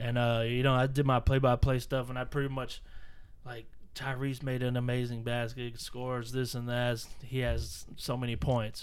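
At a moderate pace, a man speaks in a monotone, flat way at medium pitch, with audible room echo. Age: 30s. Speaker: podcast host. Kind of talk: casual chat. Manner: halting, repeats words.

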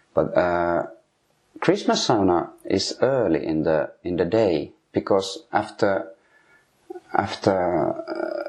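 A man speaks with a Finnish accent. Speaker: sauna heater. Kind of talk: interview. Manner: halting.

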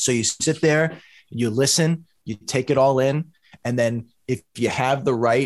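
In an American accent, a plain, everyday voice speaks with ordinary pitch variation against a quiet background. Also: man. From Boston. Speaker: music producer and entrepreneur. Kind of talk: podcast interview.

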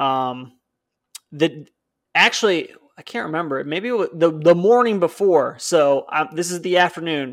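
A man speaks with an American accent. His voice is high and his pace moderate. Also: ordinary pitch variation. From northern Illinois (Chicago suburbs). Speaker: hunting podcast co-host. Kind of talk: casual chat.

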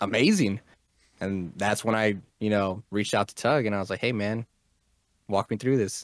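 A very clean recording with a silent background carries speech at a fairly quick pace and fairly even intonation. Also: man. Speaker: video game streamer, podcast co-host. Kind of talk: casual chat.

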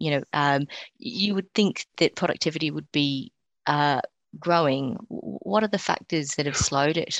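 Talking fairly slowly in an Australian accent, a woman with a very deep, low pitch uses lively intonation, the sound dry and close with no echo. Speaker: co-host.

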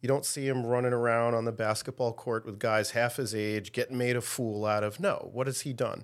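A man with a normal speaking voice talks at a fairly quick pace and medium pitch, with fairly even intonation and hardly any pauses. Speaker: podcast co-host. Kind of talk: casual chat. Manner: blunt, direct.

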